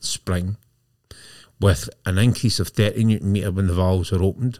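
The recording is very clean, with a silent background. A man with a fairly low pitch talks at a fairly quick pace with a Scottish accent. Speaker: podcast host. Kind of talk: casual chat.

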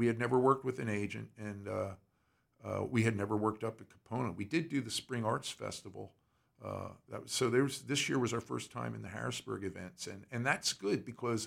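A man talks at a fairly quick pace with a medium pitch and ordinary pitch variation. His voice has vocal fry and big swings in loudness. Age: 70s. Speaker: blues singer and harmonica player. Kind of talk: casual interview chat.

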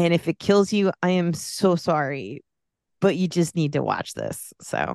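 A woman speaks in a normal speaking voice, fairly low in pitch, with ordinary pitch variation and a fairly slow pace. The sound is dry and close, with no echo. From US, Mexican-American family. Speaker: podcast guest. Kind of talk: casual chat.

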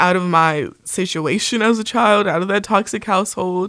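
A woman at a medium pitch with ordinary pitch variation, in a very clean recording against a silent background. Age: 20s. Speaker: podcast host. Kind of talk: solo monologue. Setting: studio.

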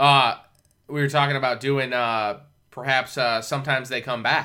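On a very clean recording with a silent background, a man speaks in a bright, sharp tone with monotone, flat intonation and long, frequent pauses. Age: 30s. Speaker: podcast host. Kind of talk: casual chat.

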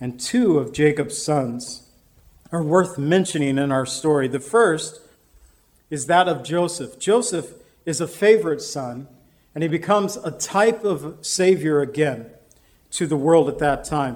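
Through audible room echo, a man with a fairly high pitch speaks at a fairly slow pace with lively intonation. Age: 50s. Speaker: pastor. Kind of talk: sermon.

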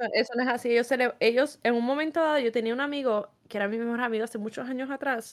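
Talking at a very fast pace with a strong Puerto Rican accent, a woman keeps her high pitch at a fairly even intonation. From Puerto Rico. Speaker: podcast co-host. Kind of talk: casual chat.

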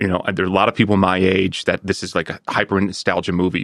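A man with an unremarkable speaking voice and fairly low pitch talks at a fairly quick pace in a dry, close recording with no echo. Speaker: guest, friend and business partner of host. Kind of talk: casual podcast chat.

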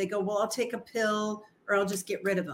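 The delivery is fairly quick. It is an ordinary speaking voice. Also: woman. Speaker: estranged parent guest. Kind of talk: casual conversation in a live stream. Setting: video call.

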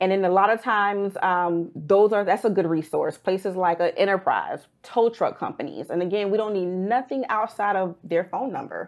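Hers is a normal speaking voice, with a medium pitch and ordinary pitch variation. The woman keeps a moderate pace with hardly any pauses. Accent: American. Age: 30s. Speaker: personal injury consultant. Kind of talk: casual interview.

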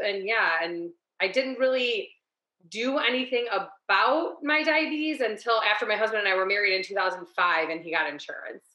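With a Midwestern US accent, a woman speaks at a moderate pace. Her pitch is fairly high and her intonation lively. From Ohio. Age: 40s. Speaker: small business owner, diabetes patient. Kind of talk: interview, personal story.

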